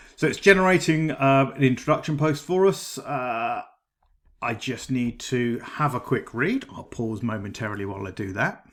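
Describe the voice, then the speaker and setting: On a very clean recording with a silent background, a man with a British accent talks at a moderate pace with lively intonation. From Britain. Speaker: AI writing tool reviewer. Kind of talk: tutorial. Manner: casual, with frequent ums and uhs.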